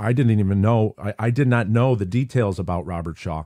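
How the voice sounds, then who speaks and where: With an upstate New York accent, a man speaks at a moderate pace in a fairly low pitch, his tone dark and mellow and his intonation lively. The recording is very clean with a silent background and a dry, close sound with no echo. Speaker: podcast host. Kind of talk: casual podcast monologue.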